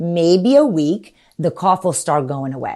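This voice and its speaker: This woman's voice has a dark, mellow tone and swings very widely in pitch. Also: very clean recording, silent background. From Romania. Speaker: pediatrician. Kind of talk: interview.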